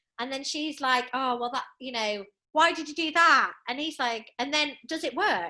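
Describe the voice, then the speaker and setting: At a moderate pace, a woman projects a raised, high voice with a bright, sharp tone and ordinary pitch variation. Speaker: author and gender justice specialist. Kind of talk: podcast interview. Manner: loud.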